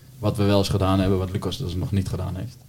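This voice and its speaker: At a fairly quick pace, a man talks in a very deep, low voice that is somewhat breathy with a dark, mellow tone. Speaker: podcast host. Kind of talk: casual chat.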